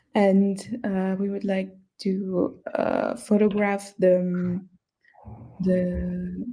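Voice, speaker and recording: A woman's somewhat breathy voice at medium pitch, dark and mellow in tone, monotone and flat, at a very slow pace. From Luxembourg, Cape Verdean family. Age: young. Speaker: young interviewee. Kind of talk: casual interview. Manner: halting, many fillers.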